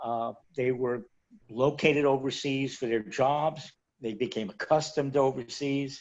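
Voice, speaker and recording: A man speaks at a fairly slow pace in a medium pitch. His pitch varies in an ordinary way. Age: 60s. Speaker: retired expat. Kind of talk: interview.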